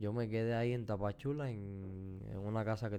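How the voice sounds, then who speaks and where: The tone is dark and mellow, with ordinary pitch variation. Audible room echo can be heard. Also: man. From Cuba. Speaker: podcast co-host. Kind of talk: casual chat.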